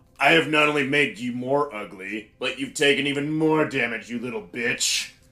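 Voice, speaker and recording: Doing a put-on character voice, a man speaks at a moderate pace in a raised, projected voice, his pitch fairly high with ordinary variation. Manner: haughty, dramatic.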